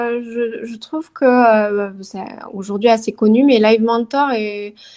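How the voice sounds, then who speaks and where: A woman's fairly high, dark, mellow voice at a very slow pace, with fairly even intonation and big swings in loudness, in a very clean recording with a silent background. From southern France, Toulouse. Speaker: career transition coach and yoga teacher. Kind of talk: interview. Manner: hesitant, many fillers.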